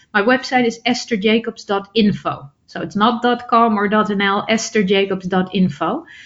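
A woman with a Dutch accent, fairly high pitch, ordinary pitch variation, a fairly slow pace and hardly any pauses. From Netherlands. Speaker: public speaker and author. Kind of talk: interview.

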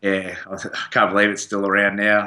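With an Australian accent, a man speaks in a fairly low pitch with a bright, sharp tone. His intonation stays flat and monotone against a quiet background. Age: 30s. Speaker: professional rugby player. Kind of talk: casual interview. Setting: studio.

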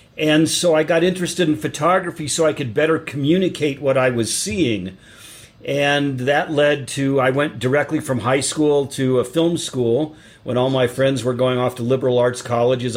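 With an American accent and a plain, everyday voice, a man speaks at a moderate pace and medium pitch with ordinary pitch variation. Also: very even loudness. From US Colorado. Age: 60s.

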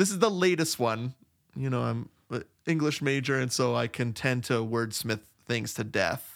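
Moderate in pace, the delivery holds steady throughout. It is an unremarkable speaking voice. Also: man, medium pitch for a man, lively intonation. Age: 40s. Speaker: podcast co-host. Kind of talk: casual chat. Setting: remote recording.

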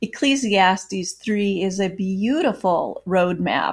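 A woman speaks at a very slow pace and medium pitch. Her voice is somewhat breathy. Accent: American. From US Midwest, Iowa. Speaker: author and former news reporter. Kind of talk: interview. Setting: video call.

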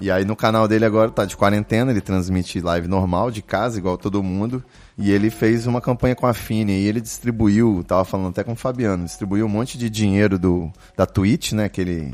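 A man talks at a fairly quick pace in a normal speaking voice. His pitch is fairly low and his intonation fairly even. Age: 30s. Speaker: podcast host. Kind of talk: casual chat. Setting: live stream studio.

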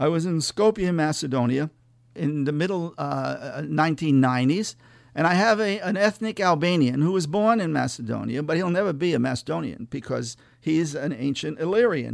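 An ordinary speaking voice, this man has an American accent, a fairly high pitch, lively intonation and a moderate pace, captured on a very clean recording with a silent background. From New England, central Massachusetts. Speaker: author and former war correspondent. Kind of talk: interview. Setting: studio.

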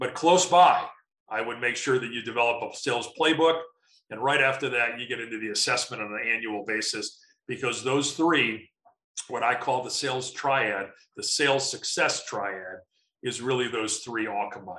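A man with an American accent has a normal speaking voice at medium pitch. His pitch varies in an ordinary way, and his pace is moderate. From US Midwest, Chicago. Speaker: sales and marketing consultant. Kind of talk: interview.

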